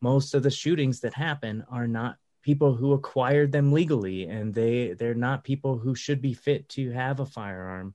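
In an American accent, a man with a medium pitch and a dark, mellow tone talks at a moderate pace with ordinary pitch variation. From USA. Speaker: podcast host and counselor. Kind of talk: casual interview conversation. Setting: indoors.

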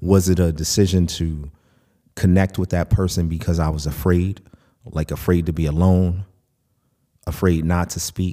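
With an American accent, this speaker has a dark, mellow tone and a monotone, flat delivery broken by long, frequent pauses. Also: man, very deep, low pitch for a man, moderate pace. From United States. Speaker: podcast host. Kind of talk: monologue podcast.

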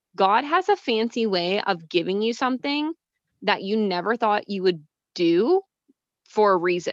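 At a moderate pace, a woman with a medium pitch and an American accent speaks with lively intonation in a dry, close sound with no echo. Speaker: pageant contestant and mental health advocate. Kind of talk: interview.

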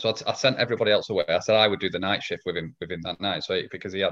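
Speaking at a very fast pace, a man talks with a northwest English accent. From northwest England. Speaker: lean consultant and trainer. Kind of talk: casual interview. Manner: halting, repeats words.

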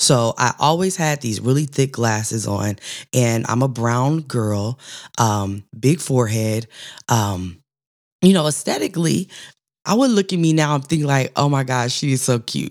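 A woman with a very deep, low pitch talks at a fairly slow pace in an animated tone with lively intonation. The recording is very clean, with a silent background. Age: 40s. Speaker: podcast host. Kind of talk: personal storytelling monologue.

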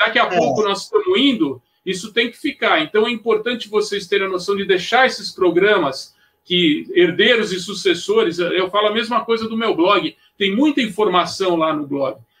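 Man with a high pitch, lively intonation and a bright, sharp tone. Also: moderate pace. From São Paulo city, Brazil. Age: 60s. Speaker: surf journalist and historian. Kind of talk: live podcast discussion.

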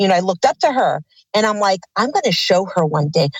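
The voice carries an American accent and sounds somewhat breathy. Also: woman. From Los Angeles, California. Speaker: actress. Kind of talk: interview.

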